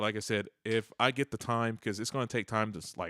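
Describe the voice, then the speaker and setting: A man in a very clean recording with a silent background and a dry, close sound with no echo. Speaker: tech live streamer. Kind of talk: casual live stream commentary. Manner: fast; casual, halting with repetitions.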